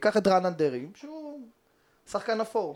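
A man is speaking here. His intonation is lively. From Jerusalem, Israel. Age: 40s. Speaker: footballer. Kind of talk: interview. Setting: studio.

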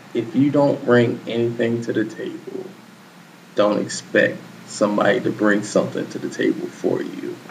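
Against noticeable background noise, a man keeps a moderate pace. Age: 20s. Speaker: podcast host. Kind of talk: casual panel debate.

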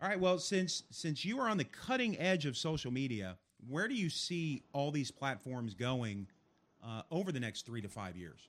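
Loud and animated, a man speaks at a fairly high pitch with very wide pitch swings. He holds a moderate pace. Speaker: live web show host. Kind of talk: casual chat. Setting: studio, live stream. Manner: loud, animated.

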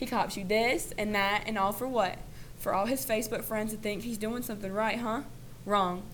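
A woman's fairly high voice at a fairly quick pace. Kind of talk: spoken word poem performance, delivered as a defiant letter. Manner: animated, biting and sarcastic, turning defiant and forceful.

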